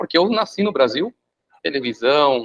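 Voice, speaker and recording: Fairly high in pitch, a man with a plain, everyday voice talks at a moderate pace with lively intonation. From Brazil. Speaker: professor. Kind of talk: lecture. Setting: video call.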